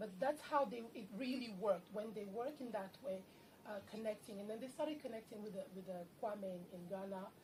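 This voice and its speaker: Over noticeable background noise, a woman talks at a fairly quick pace. Her pitch is fairly high, with ordinary variation. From Democratic Republic of Congo. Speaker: activist and playwright. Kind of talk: Q&A discussion. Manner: fast.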